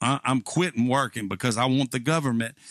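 A man speaks against a quiet background in a dry sound with no echo. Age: 60s. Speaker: pastor and video creator. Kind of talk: sarcastic political monologue to camera. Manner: casual, hesitant with fillers. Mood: sarcastic, mocking. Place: home room. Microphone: studio mic.

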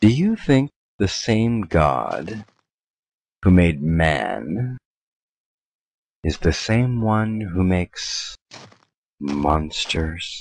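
In a put-on character voice, a man speaks with a very deep, low pitch at a very slow pace, leaving long, frequent pauses. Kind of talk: gothic horror drama. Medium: machinima. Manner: aloof, haughty, coolly menacing.

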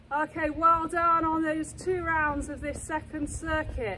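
A woman raises and projects her high-pitched voice over light background noise. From England. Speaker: fitness instructor. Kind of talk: live-cued workout coaching, counting reps and talking learners through each move. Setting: exercise studio or gym. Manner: brisk rhythmic cueing. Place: open country.

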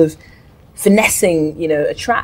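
The pace is moderate. This woman's voice comes out somewhat breathy. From Cameroon. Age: 30s. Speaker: singer; guest. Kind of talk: interview. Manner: casual. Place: studio.

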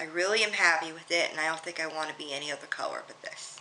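In an American accent, a woman speaks with a fairly low pitch. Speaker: vlogger. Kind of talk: casual talk to camera about hair care. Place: home room. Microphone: webcam.

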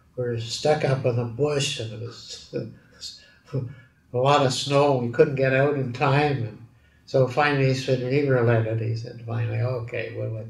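With a Canadian accent, a man speaks at a moderate pace in a monotone, flat way. There is audible room echo. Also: medium pitch for a man. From Edmonton, Alberta, Canada. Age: 80s+. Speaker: metallurgist and steel industry pioneer. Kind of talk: oral history interview answer. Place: office.

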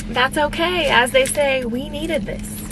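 A woman speaks in dry sound with no echo, with noticeable background noise. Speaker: lifestyle vlogger. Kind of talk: casual vlog chat. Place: car. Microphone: phone near.

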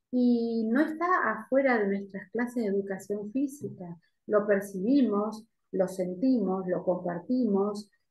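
A woman at a fairly slow pace amid audible room echo. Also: ordinary pitch variation. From Argentina. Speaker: university lecturer. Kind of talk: academic Q&A. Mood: calm, reflective. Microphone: video call.

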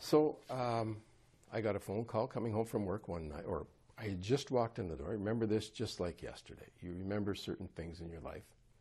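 Speaking at a fairly quick pace, a man uses a fairly low pitch with an Ontario accent. His tone is dark and mellow, and somewhat breathy. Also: ordinary pitch variation. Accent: Canadian (Ontario). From Ottawa Valley, Ontario, Canada; Ontario, Canada. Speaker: politician, former police officer; politician interviewee. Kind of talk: interview conversation. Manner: halting. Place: home room. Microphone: lapel.

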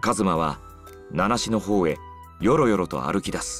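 Music plays behind a man with a fairly low pitch who speaks with lively intonation at a moderate pace. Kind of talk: narration of a story, reading.

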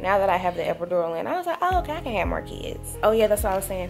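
Clear music plays behind a woman as she speaks. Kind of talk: casual vlog chat. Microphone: phone near.

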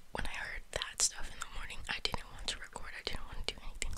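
A woman is whispering at a fairly quick pace. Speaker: ASMR creator. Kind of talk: ASMR whisper ramble, casual talk to camera. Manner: whispered. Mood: tired, venting. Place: home room. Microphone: studio mic.

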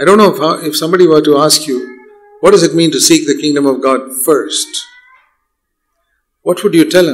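Speaking at a fairly quick pace in a quiet background, a man has a high pitch and ordinary pitch variation. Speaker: preacher. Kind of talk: sermon. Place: hall. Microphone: podium.

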